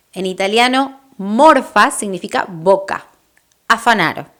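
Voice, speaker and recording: With an Argentine accent, a woman speaks at a very slow pace, her fairly high pitch moving in lively intonation. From Argentina. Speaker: Spanish teacher. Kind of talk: language lesson to camera. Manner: friendly, upbeat.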